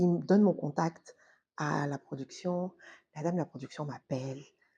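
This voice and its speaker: The speaker has a dark, mellow tone with vocal fry and talks at a fairly slow pace. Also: woman. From Cameroon. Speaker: actress and TV host. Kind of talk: casual storytelling vlog. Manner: animated.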